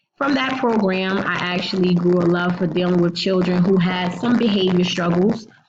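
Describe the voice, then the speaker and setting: A woman with an American accent speaks at a moderate pace, with hardly any pauses and very even loudness. Her pitch is medium with ordinary variation, and the room echo is audible. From New Jersey, Jersey City. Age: 30s. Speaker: teacher. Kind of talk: self-introduction presentation for a class.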